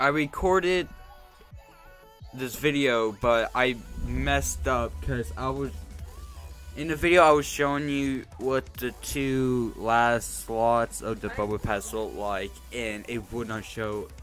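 Over music in the background, a man at a medium pitch speaks at a very slow pace with very wide pitch swings. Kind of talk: casual gaming commentary. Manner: rambling, hesitant.

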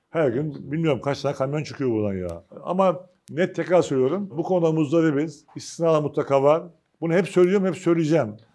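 Against a quiet background, a man with a fairly high pitch and a dark, mellow tone talks at a fairly quick pace with ordinary pitch variation. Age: 50s. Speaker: agricultural cooperative union chairman. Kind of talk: press conference speech. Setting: meeting with press at company facilities. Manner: informal, conversational. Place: meeting room. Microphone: lapel.

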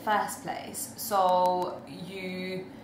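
A woman speaks with audible room echo. There is light background noise. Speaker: spoken word poet. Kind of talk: casual talk to camera. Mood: calm, reflective. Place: home room. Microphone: webcam.

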